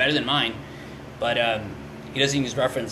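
The man speaks at a medium pitch in an American accent. Room echo is audible, and background noise is noticeable. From California. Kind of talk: casual chat. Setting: studio. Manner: halting, many fillers.

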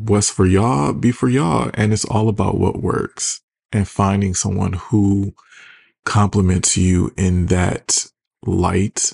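Somewhat breathy and fairly low in pitch, a man talks with an American accent. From Detroit, US Midwest. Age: 30s. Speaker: podcast host. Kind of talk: casual solo podcast monologue. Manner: sarcastic, casual, chatty.

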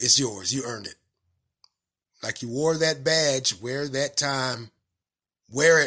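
A man with a Southern US accent speaks at a very slow pace and medium pitch, in a bright, sharp tone with ordinary pitch variation. His loudness swings widely, and long, frequent pauses fall against a quiet background. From North Carolina, US South. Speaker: podcast host. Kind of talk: solo commentary podcast monologue. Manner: casual, conversational, with filler words.

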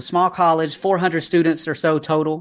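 A man with a slight Southern US accent, high pitch and a fairly quick pace. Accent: slight Southern twang. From Atlanta, Georgia, US South. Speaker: youth mentor and speaker. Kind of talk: life story interview. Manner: energetic.

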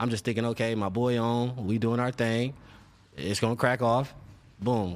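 A man talks at a fairly quick pace. His medium pitch carries fairly even intonation. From South Central Los Angeles. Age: 30s. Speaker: rapper. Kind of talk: casual chat.

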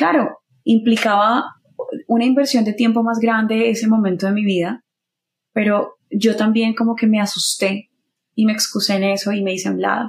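A woman speaks at a fairly high pitch in a somewhat breathy voice. Her intonation stays fairly even at a moderate pace. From Colombia, Bucaramanga. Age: 30s. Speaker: singer-songwriter and radio announcer. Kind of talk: casual interview chat.

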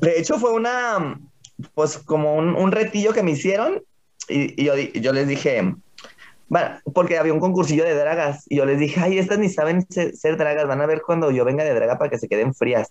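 A man with an ordinary speaking voice talks at a moderate pace and a fairly high pitch, with lively intonation and very even loudness. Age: 20s. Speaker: drag performer. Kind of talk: casual interview chat.

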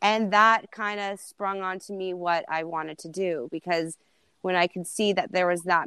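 An unremarkable speaking voice from a woman, medium in pitch with ordinary pitch variation, at a moderate pace, in a dry, close sound with no echo and a quiet background. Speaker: TikTok creator. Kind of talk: casual chat. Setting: video call.

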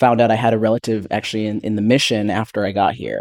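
A man in a normal speaking voice, medium-pitched and at a fairly quick pace, in a very clean recording with a silent background and a dry, close sound with no echo. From Canada. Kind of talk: panel discussion.

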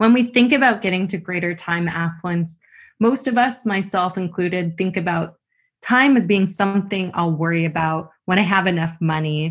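A woman with a normal speaking voice and a Canadian accent talks at a moderate pace in a fairly low pitch against a quiet background. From Canada. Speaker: business school professor. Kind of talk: interview.

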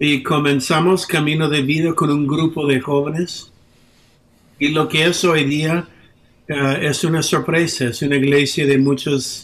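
In an English accent, a man speaks at a fairly slow pace and a fairly high pitch, with very even loudness and monotone, flat intonation. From United States. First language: English (speaking Spanish). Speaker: pastor. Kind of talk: interview. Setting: video call.

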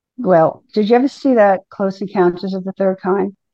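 With an American accent and a plain, everyday voice, a woman talks at a moderate pace and medium pitch with ordinary pitch variation. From New Jersey. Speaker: songwriter. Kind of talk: interview.

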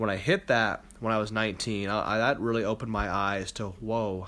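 A man with an American accent, an ordinary speaking voice, fairly low pitch, ordinary pitch variation and a moderate pace, on a very clean recording with a silent background. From Ohio, US Midwest. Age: 20s. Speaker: podcast host, competitive powerlifter. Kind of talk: solo podcast monologue. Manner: casual, with filler words.

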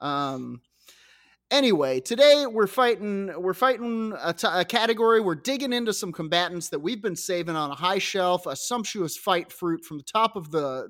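The recording is very clean, with a silent background. The voice has an animated tone and lively intonation. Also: man. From Scotland, moved to US around age ten. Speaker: podcast co-host. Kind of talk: casual comedic chat. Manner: animated, laughing often.

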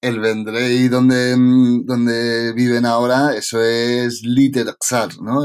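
A man at medium pitch, very slow and monotone, flat in intonation, with hardly any pauses. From Catalonia, Spain (Tarragona). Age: 40s. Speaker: novelist. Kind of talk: interview.

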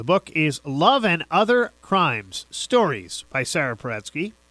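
This man's pitch swings very widely. The sound is dry and close with no echo, and the recording is very clean with a silent background. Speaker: radio host. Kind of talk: radio interview.

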